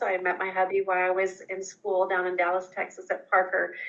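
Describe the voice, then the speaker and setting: A woman with an Oklahoma accent and a bright, sharp tone. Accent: Oklahoma, US southern plains. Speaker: chiropractor. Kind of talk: interview.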